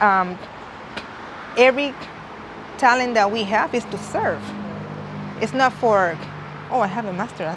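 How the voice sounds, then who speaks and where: A woman with a strong Puerto Rican accent, fairly high in pitch, with long, frequent pauses and noticeable background noise. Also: ordinary pitch variation, moderate pace. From Puerto Rico. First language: Spanish. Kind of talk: interview. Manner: halting, with frequent restarts.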